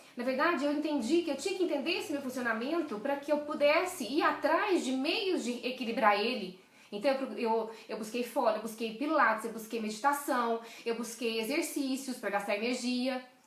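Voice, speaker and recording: Amid noticeable background noise and audible room echo, a woman speaks in an animated tone with lively intonation and a high pitch. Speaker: leadership coach. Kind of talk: live stream talk. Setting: live video stream. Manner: fast.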